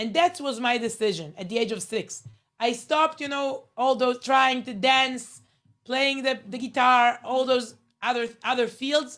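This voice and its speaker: Using a high pitch with ordinary variation, a woman with an Israeli accent speaks at a fairly slow pace. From Israel (Herzliya). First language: Hebrew. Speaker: journalist, speaker. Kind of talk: motivational talk. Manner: halting, many fillers.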